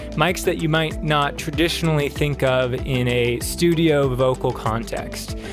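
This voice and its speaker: Clear music plays behind a man speaking at a fairly slow pace. His voice sounds dry, with no echo. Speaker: presenter. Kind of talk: tutorial. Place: studio. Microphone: studio mic.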